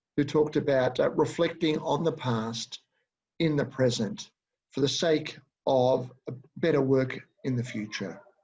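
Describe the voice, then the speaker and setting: Speaking fairly slowly with long, frequent pauses, a man with an Australian accent has a fairly high, somewhat breathy voice and ordinary pitch variation. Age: 60s. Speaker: educator and supervisor. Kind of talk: webinar presentation. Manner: halting, many fillers.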